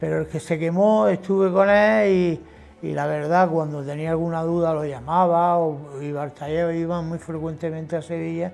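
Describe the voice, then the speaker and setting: The man's pitch is fairly high and his intonation fairly even. He speaks at a moderate pace. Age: 60s. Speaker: gilder, craftsman. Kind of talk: interview testimony. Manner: casual, with hesitations and repetitions.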